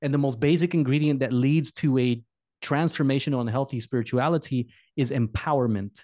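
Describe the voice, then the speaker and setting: A man's medium-pitched voice of dark, mellow tone, with fairly even intonation, very even loudness and a fairly quick pace against a quiet background. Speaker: podcast host. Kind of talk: interview.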